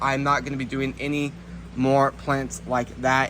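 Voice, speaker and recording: Noticeable background noise sits behind a man speaking at a fairly high pitch. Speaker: gardening video creator. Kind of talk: video tour walkthrough. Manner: fast.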